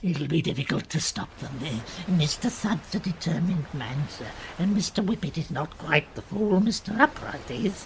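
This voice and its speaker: In a put-on character voice at a middle pitch, the speaker moves at a moderate pace against clear background noise. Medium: audio drama. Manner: nervous, hesitant.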